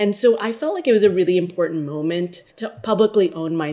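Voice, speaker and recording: Her pitch fairly low with ordinary variation, a woman speaks at a very fast pace. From India, also raised in the Philippines and US. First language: Hindi. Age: 30s. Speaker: pediatrician and public health leader. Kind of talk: interview.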